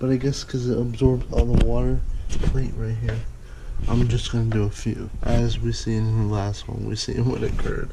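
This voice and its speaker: Audible room echo trails a man talking at a moderate pace. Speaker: youtuber. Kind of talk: casual vlog. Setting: indoors at home, bathroom then kitchen. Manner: quiet, hushed; excited exclamations.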